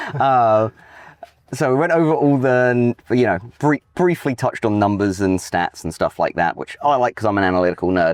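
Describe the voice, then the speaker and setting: A man's medium-pitched voice, in an English accent, sounds dry and close with no echo. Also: lively intonation, moderate pace. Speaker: real estate agent and podcast host. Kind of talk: casual interview. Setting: outdoors in a golf cart.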